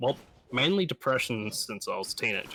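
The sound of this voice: A man speaks with lively intonation in a nasal voice with a bright, sharp tone.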